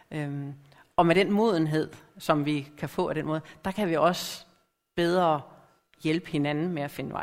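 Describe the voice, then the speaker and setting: A woman with a very deep, low voice speaks at a fairly slow pace with fairly even intonation and long, frequent pauses. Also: very clean recording, silent background. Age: middle-aged. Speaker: lay preacher. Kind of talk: sermon.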